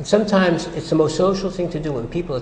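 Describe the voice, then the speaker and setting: Very fast male speech amid noticeable background noise and audible room echo. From US. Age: 70s. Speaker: psychologist. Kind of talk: interview. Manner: halting.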